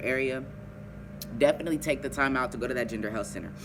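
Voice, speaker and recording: The man's pitch moves in an ordinary way while noticeable background noise is heard. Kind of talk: casual advice vlog.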